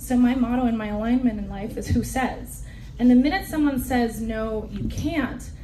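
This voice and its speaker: The voice moves at a moderate pace through audible room echo and noticeable background noise. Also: woman. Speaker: business panelist. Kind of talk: panel talk. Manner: loud; direct.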